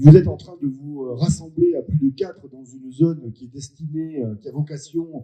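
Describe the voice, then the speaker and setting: This man's voice has a dark, mellow tone and is somewhat breathy. His pitch sits fairly high. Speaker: member of parliament. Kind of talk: public meeting speech. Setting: public meeting with audience. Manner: hesitant, many filler sounds.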